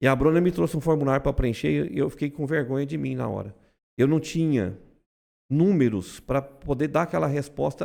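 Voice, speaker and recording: In a very clean recording with a silent background, a man with a fairly high pitch speaks in a dark, mellow tone with lively intonation. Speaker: insurance brokerage owner. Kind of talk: podcast conversation. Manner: loud; fast.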